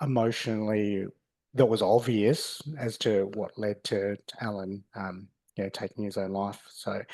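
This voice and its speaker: A man with an Australian accent speaks over a quiet background at a fairly slow pace, with a fairly low pitch, a dark, mellow tone and fairly even intonation. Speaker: podcast host. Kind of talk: casual chat. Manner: halting.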